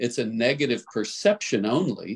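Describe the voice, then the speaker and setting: Moderate pacing from a male speaker, quiet surroundings. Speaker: entrepreneur; coach leading group call. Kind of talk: live group discussion. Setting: group video call. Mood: encouraging, persuasive. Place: home room. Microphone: video call.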